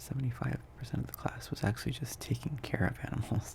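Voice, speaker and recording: A soft-spoken man talks in a relaxed tone. His pace is moderate. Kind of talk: ASMR ramble, casual talk to camera. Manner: soft-spoken, relaxed, rambling.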